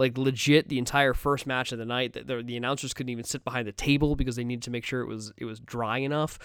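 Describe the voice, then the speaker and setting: Delivered at a very fast pace with hardly any pauses, the speech has a monotone, flat intonation. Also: man, medium pitch for a man. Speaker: wrestling podcast host. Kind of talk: casual solo podcast commentary. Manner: halting, repetitive.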